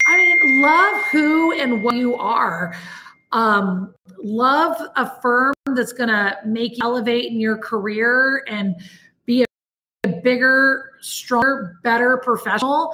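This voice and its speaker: This woman talks very slowly and loudly at a high pitch. Her intonation is lively. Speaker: business leader. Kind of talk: interview. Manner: animated.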